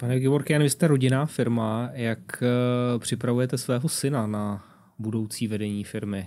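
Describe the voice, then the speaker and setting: A man speaks at a moderate pace in a medium pitch with ordinary pitch variation, his tone dark and mellow against a quiet background. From Czech Republic. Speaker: podcast host. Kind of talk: interview. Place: studio. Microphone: studio mic.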